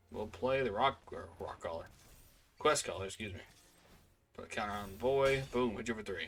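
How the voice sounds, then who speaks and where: A man's voice with long, frequent pauses, big swings in loudness, ordinary pitch variation and music in the background. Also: medium pitch for a man. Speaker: card game video creator. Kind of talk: gameplay commentary. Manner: fast; casual, thinking aloud.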